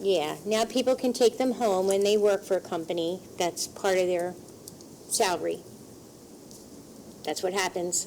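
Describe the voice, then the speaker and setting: Soft-spoken, a woman talks at a moderate pace and a medium pitch with ordinary pitch variation and long, frequent pauses. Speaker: borough council member. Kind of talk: council meeting discussion.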